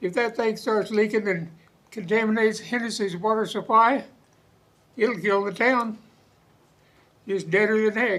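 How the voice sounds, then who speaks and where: In a rural Oklahoma accent, a man talks at a high pitch and a moderate pace. He leaves long, frequent pauses. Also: fairly even intonation. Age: 80s+. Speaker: local resident. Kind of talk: public comment at town meeting.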